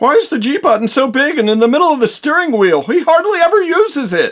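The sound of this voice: A man's cartoonish character voice, extremely high in pitch and very fast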